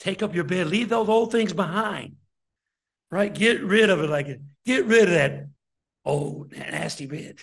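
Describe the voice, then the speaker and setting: With an American accent, the speaker talks at a fairly slow pace with lively intonation and long, frequent pauses, and audible room echo surrounds the voice. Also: man, high pitch for a man. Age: 60s. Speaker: deacon preacher. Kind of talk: sermon.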